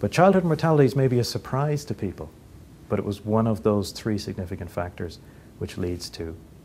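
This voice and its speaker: A man's fairly low pitch and dark, mellow tone in a Dublin accent, with very wide pitch swings. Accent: Dublin Irish. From Ireland, Dublin. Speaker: economist and philanthropist. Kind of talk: interview. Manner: halting, with frequent fillers and repeats.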